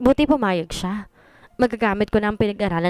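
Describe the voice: The voice is doing plain reading aloud. Nothing more stands out.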